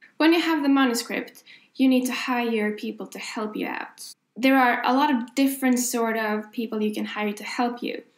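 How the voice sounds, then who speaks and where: A woman speaks with a Swedish accent in a high pitch, with fairly even intonation. Her loudness swings widely, and her pace is moderate. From Sweden. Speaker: author. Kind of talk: tutorial. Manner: casual, with fillers.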